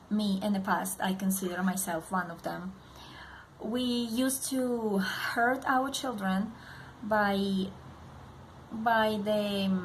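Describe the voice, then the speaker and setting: Amid audible room echo, a woman with a non-native accent speaks at a very slow pace with long, frequent pauses and fairly even intonation. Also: medium pitch for a woman. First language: not English. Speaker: parenting vlogger. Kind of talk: direct-to-camera vlog. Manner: halting, many fillers.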